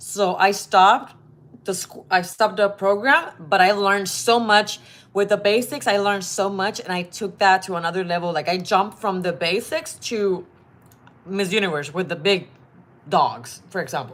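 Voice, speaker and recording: The speaker has a Spanish accent. Pitch varies in an ordinary way. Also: woman, medium pitch for a woman, moderate pace. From Puerto Rico. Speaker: model. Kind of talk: advice vlog. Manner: casual, with fillers and restarts.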